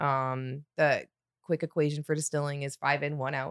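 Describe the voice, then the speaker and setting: Recorded dry and close with no echo on a very clean recording with a silent background, a woman with a Michigan accent speaks at a moderate pace. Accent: Michigan American. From Michigan, Detroit suburbs. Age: 40s. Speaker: distillery sales rep. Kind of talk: casual chat.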